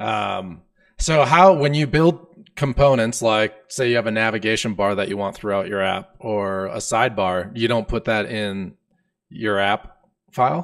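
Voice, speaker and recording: A man with a medium pitch speaks at a fairly slow pace in a plain, everyday voice. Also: lively intonation. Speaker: podcast host, programming educator. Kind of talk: casual technical interview. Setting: live-streamed video call.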